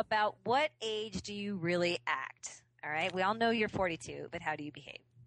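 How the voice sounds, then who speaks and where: The speaker uses a plain, everyday voice at a moderate pace. The intonation is lively. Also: woman, medium pitch for a woman. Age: 40s. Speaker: podcast co-host. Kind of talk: casual chat.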